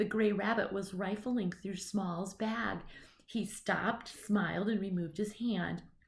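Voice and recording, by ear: The words are read aloud in a natural voice.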